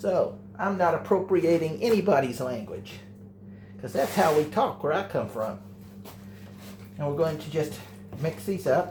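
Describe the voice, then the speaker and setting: Amid audible room echo, a man with an American accent and a fairly high, vocal-fry voice speaks at a moderate pace, his pitch swinging very widely between long, frequent pauses. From Texas. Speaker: home cook, channel owner. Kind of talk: cooking tutorial. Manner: casual, hesitant with fillers.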